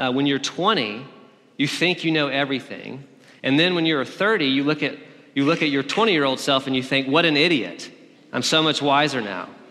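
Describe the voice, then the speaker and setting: A man speaks at a moderate pace with a fairly high pitch. His pitch varies an ordinary amount, and the room echo is audible. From Alabama. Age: 30s. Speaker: pastor. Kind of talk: sermon.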